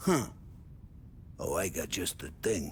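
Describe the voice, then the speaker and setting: Over clear background noise, a man puts on a loud, raspy character voice. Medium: video game. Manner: loud, jovial.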